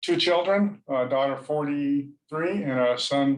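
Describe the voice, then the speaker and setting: A man with a Californian accent talks at a very slow pace. His pitch is fairly high, with ordinary variation. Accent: General American (Californian). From San Diego, California, US. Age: 60s. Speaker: nonprofit founder. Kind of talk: interview podcast. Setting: home office, video call.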